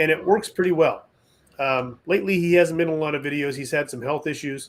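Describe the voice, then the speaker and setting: A man at a fairly quick pace with ordinary pitch variation, on a very clean recording with a silent background. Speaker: western filmmaker and actor. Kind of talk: casual chat. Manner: loud.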